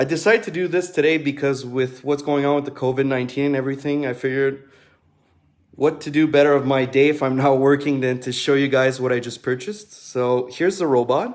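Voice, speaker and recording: A man talks with a French accent at a fairly high pitch. His intonation stays fairly even. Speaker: duct cleaner. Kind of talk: product demonstration livestream. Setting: live video stream. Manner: casual, with frequent fillers.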